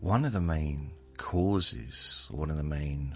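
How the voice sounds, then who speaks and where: A man speaks at a very deep, low pitch while music plays in the background. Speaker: podcast host. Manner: slow talker; relaxed, calm.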